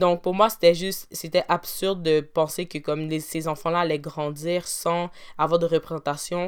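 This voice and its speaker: A woman talks in a monotone, flat intonation at a fairly low pitch. The pace is moderate, and the recording is very clean with a silent background. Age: 20s. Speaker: podcast host and university student. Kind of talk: solo podcast monologue.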